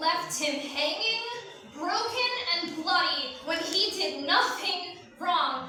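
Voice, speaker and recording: A woman speaks at an extremely high pitch in a raised, projected voice with lively intonation. Her pace is very slow, with noticeable background noise. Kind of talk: spoken word poetry performance. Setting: live event. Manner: emotional, grieving.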